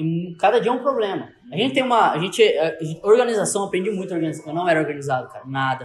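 Amid noticeable background noise, a man talks very fast with lively intonation and a high pitch. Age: 20s. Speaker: entrepreneur. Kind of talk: casual chat.

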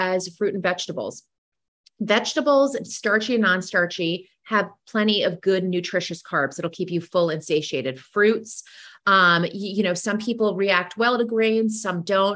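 A plain, everyday voice at a fairly slow pace, with lively intonation, on a very clean recording with a silent background. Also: woman, medium pitch for a woman. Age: 40s. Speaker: nutrition and wellness coach. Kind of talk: interview.

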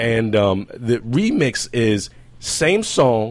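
A man with a medium-pitched, animated voice against a quiet background. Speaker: podcast host. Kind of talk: casual group chat. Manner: animated, jokey.

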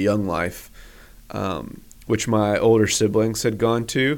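On a very clean recording with a silent background, a man with an American accent and a plain, everyday voice speaks fairly slowly at medium pitch with fairly even intonation. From US Northeast (western Massachusetts). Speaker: pastor and church planter. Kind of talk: casual interview chat.

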